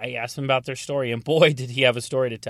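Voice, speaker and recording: With an American accent and a plain, everyday voice, this man has a fairly high pitch and fairly even intonation on a very clean recording with a silent background. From North Carolina. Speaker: podcast host, auto damage appraiser. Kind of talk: casual podcast monologue with sponsor read.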